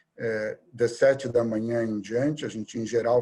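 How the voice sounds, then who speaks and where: A man speaks with a medium pitch. His intonation is monotone and flat. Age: 60s. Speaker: surgeon and hospital director. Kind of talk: interview conversation. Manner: hesitant, many fillers.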